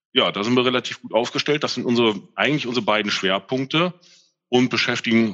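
This man's voice sits at a medium pitch. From northern Germany, Mölln. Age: 50s. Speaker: tax adviser. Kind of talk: interview. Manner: halting.

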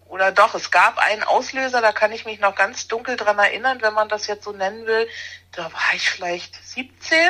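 Her voice is fairly high for a woman, with a bright, sharp tone. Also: ordinary pitch variation, moderate pace. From Berlin, Germany. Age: 50s. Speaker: animal naturopath. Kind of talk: interview.

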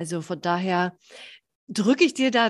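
Over a quiet background, a woman with an unremarkable speaking voice talks at a fairly slow pace with lively intonation. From northern Germany, Baltic coast. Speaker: podcast host, health coach. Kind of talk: casual interview chat.

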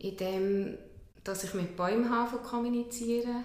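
Speaking at a very slow pace, a woman keeps her intonation fairly even. Noticeable background noise and audible room echo come through in the recording. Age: 40s. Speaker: kinesiologist. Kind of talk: interview. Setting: her practice.

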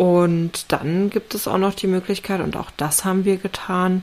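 A woman speaks over noticeable background noise. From East Germany. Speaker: podcast co-host, home renovator. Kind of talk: casual chat. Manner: animated.

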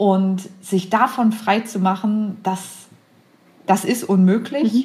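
A woman speaks with fairly even intonation and a somewhat breathy voice. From Braunschweig, Lower Saxony, Germany. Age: 30s. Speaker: intensive care nurse. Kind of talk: casual chat. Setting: video call.

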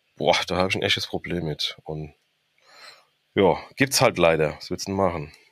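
At a moderate pace, a man with a very deep, low pitch speaks with long, frequent pauses. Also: ordinary pitch variation. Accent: strong Frankfurt. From Frankfurt am Main, Hesse. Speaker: professional firefighter and crime novelist. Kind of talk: casual interview.

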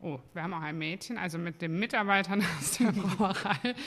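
A woman speaks at a moderate pace in a medium pitch. Her tone is bright and sharp, with lively intonation. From Cologne, Germany. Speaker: brewery owner. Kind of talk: casual chat. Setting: studio.

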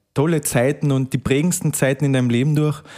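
With a Carinthian accent, a man speaks at a medium pitch and moderate pace with fairly even intonation, in a very clean recording with a silent background and a dry, close sound with no echo. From Austria, Carinthia. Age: 20s. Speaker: rural youth club district leader. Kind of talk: casual interview.

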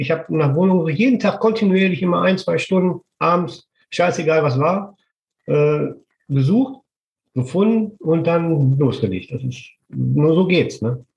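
Lively intonation marks this man's high-pitched voice as he talks at a fairly slow pace. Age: 50s. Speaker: construction business owner and property renter. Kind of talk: interview.

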